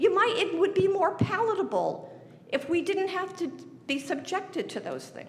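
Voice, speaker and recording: A woman's extremely high-pitched voice with an American accent, ordinary pitch variation, moderate pace and big swings in loudness, in audible room echo. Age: 80s+. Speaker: resident speaking at public hearing. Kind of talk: public comment at budget hearing. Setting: city council meeting. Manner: emotional, pleading; halting, repeated false starts.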